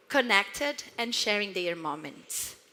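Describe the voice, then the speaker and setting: Bright and sharp in tone, a woman with a Brazilian accent speaks at a very slow pace. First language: Portuguese. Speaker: marketing executive. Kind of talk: conference talk.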